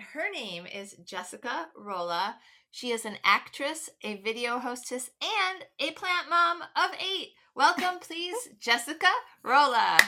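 A woman's raised, projected voice, high in pitch and bright and sharp in tone, at a fairly slow pace with very wide pitch swings and big swings in loudness. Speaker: podcast host. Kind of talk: casual interview chat.

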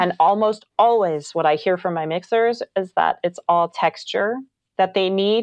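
Against a quiet background, a woman talks at a moderate pace and medium pitch with ordinary pitch variation, the sound dry and close with no echo. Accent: American. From Northern California. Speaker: foley artist. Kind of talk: interview.

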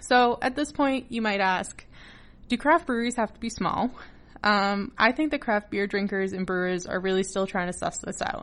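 A woman with a plain, everyday voice and an American accent, at medium pitch and a moderate pace, with ordinary pitch variation and a quiet background. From Massachusetts, US. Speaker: podcast host. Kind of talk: solo podcast talk.

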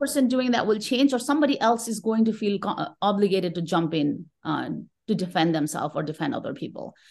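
A woman with medium pitch talks at a very fast pace over a quiet background. Her voice makes very wide pitch swings. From Nepal. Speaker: tech professional and manager. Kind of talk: casual interview conversation.

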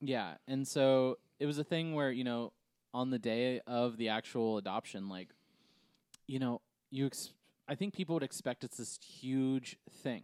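In a plain, everyday voice, a man of medium pitch talks at a fairly slow pace with ordinary pitch variation and a dry, close sound with no echo. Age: 30s. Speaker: podcast co-host and adoptive father. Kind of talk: casual chat.

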